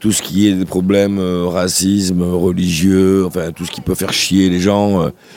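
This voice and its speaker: A man speaks in a very deep, low pitch with a dark, mellow tone and monotone, flat intonation. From southern France, Sète. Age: 60s. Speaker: singer and guitarist. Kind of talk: radio interview. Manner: halting.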